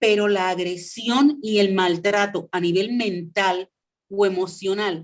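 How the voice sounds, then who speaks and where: A woman talks very slowly at a medium pitch. Her intonation stays fairly even. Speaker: former radio host. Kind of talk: interview.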